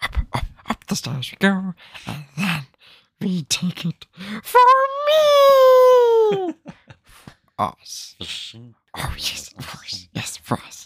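A raspy, put-on character voice at a middle pitch, very slow, with long, frequent pauses. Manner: wheedling, muttering to itself.

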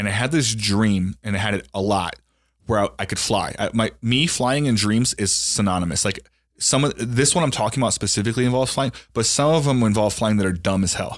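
At a fairly quick pace and very even loudness, a man speaks in an ordinary speaking voice. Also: medium pitch for a man, ordinary pitch variation. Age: 30s. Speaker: podcast host. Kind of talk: casual chat.

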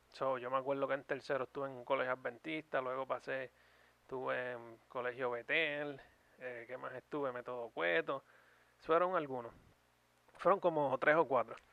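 Medium pitch for a man in an unremarkable speaking voice, ordinary pitch variation, moderate pace. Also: big swings in loudness. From Puerto Rico. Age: 30s. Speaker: YouTube podcast co-host. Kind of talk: casual chat.

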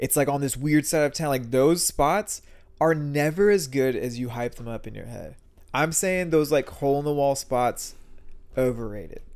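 A man with an American accent speaks at a moderate pace. His pitch is fairly high, with ordinary variation. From San Antonio, Texas. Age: 20s. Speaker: podcast host. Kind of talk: casual chat.

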